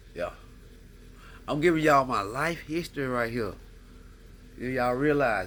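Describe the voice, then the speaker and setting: Delivered at a moderate pace with ordinary pitch variation, the speech has long, frequent pauses, big swings in loudness and audible room echo. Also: man, medium pitch for a man. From US South. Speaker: podcast host. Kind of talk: casual monologue. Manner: rambling, animated.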